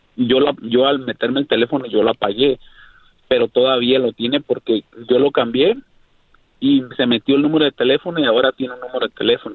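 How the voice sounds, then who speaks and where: A man with an ordinary speaking voice talks at a fairly quick pace and medium pitch. His intonation is fairly even and his loudness very even. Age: 40s. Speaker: caller. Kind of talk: casual chat. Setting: phone call.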